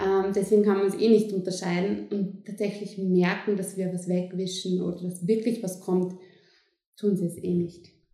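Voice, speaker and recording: Amid audible room echo, a woman with a medium pitch and a dark, mellow tone speaks at a moderate pace in monotone, flat intonation. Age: 20s. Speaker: midwife. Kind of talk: interview.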